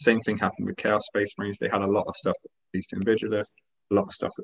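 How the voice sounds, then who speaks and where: Very fast speech from a man, recorded dry and close with no echo. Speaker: tabletop wargaming podcast host. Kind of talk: casual chat.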